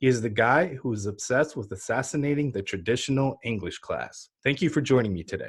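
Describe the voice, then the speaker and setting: Talking at a fairly quick pace with hardly any pauses, a man uses a medium-pitched, somewhat breathy voice. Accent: American. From US, moved from Ukraine at five. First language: Ukrainian. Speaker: podcast host. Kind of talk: interview.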